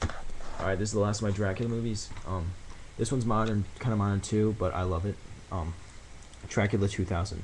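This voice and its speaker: A man talks at a fairly quick pace in a fairly low pitch. There is audible room echo around his voice. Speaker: vlogger. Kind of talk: casual video blog. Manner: fast; animated.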